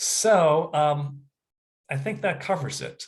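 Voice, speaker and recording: This man's voice sits fairly high in pitch and is somewhat breathy. His pitch moves with ordinary variation. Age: 60s. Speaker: health practitioner. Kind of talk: educational talk. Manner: casual, halting with filler words.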